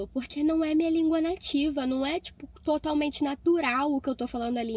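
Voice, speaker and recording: A woman's speech shows ordinary pitch variation and moves at a moderate pace. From Rio de Janeiro, Brazil. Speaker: au pair vlogger. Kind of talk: casual vlog storytelling. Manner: animated.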